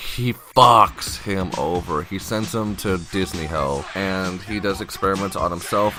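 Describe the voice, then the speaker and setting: Music plays in the background while a man speaks at a fairly low pitch. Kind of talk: casual game-lore explanation. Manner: rambling, profane.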